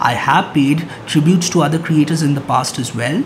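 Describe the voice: A man speaks at a moderate pace with a fairly high pitch and ordinary pitch variation, over clear background noise.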